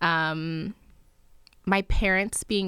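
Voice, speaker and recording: In a New Jersey accent, a woman with a fairly low pitch speaks very slowly and with fairly even intonation on a very clean recording with a silent background. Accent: American, New Jersey. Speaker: PhD student and lifestyle blogger. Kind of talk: interview. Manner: talkative.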